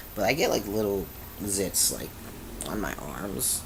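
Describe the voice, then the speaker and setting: A man talks in a fairly low pitch. Audible room echo and noticeable background noise come through. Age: 20s. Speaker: vlogger sharing transition update. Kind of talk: casual video diary. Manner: halting, many fillers.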